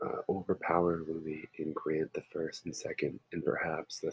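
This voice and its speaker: The voice is quiet. It moves at a fairly slow pace. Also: man. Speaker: history teacher. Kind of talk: lecture. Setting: home.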